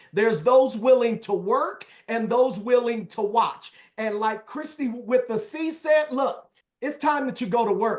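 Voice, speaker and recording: A man's extremely high, animated voice at a fairly slow pace with ordinary pitch variation. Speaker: motivational speaker in direct sales, former youth pastor. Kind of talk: sales training talk.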